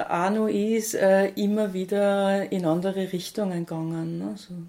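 A dark, mellow voice in an Austrian accent. The intonation is flat and monotone, and the pace is fairly slow. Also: woman. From Austria, St. Pölten (Lower Austria). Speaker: food bank founder. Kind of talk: interview.

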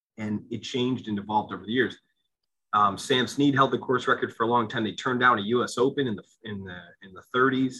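Here is a man with a plain, everyday voice and an American accent at medium pitch. His intonation is fairly even, though his loudness swings widely. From Pennsylvania, Lehigh Valley (Allentown). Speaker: golf club director. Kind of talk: interview conversation.

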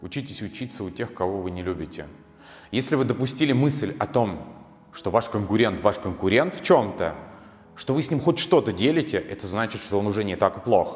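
A man's normal speaking voice, medium-pitched, with lively intonation at a moderate pace. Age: 20s. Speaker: hair colouring instructor. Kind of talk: motivational monologue. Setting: solo video recorded in one take.

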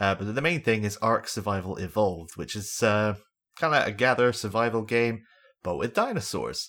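A normal speaking voice from a man at a fairly low pitch, in a very clean recording with a silent background. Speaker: podcast host. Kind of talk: casual chat.

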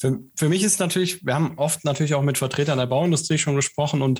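A fairly high-pitched man sounds somewhat breathy, with ordinary pitch variation, on a very clean recording with a silent background. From Siegen, Germany. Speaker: podcast co-host. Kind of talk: interview.

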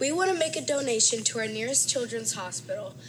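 Music plays behind the woman as she speaks. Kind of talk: casual sports analysis.

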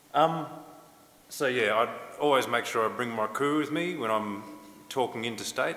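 With an Australian accent and ordinary pitch variation, the speaker goes at a moderate pace with long, frequent pauses, against noticeable background noise. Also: man, medium pitch for a man. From Western Australia, Noongar. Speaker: academic and musician, language revitalization.

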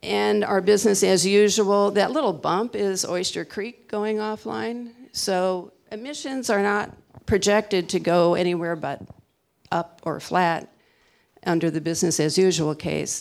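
A woman's unremarkable speaking voice at medium pitch and a fairly slow pace, ordinary pitch variation, on a very clean recording with a silent background. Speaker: energy researcher. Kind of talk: panel presentation. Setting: stage with audience.

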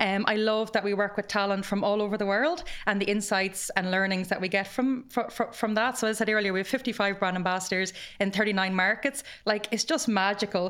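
A woman in an Irish accent at medium pitch, fairly even intonation, moderate pace and very even loudness, on a very clean recording with a silent background. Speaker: graduate program head, former teacher. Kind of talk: podcast interview.

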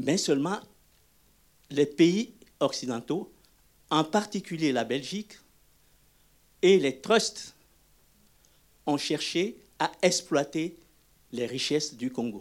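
Speaking very slowly with long, frequent pauses, a man uses lively intonation at a fairly high pitch. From Togo. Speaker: audience member. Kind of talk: audience remark in Q&A. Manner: emphatic.

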